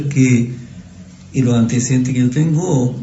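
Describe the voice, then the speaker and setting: Audible room echo hangs around a man whose intonation stays fairly even. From Chile, Punta Arenas. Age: 70s. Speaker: longtime neighbourhood resident. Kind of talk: casual reminiscing interview. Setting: café.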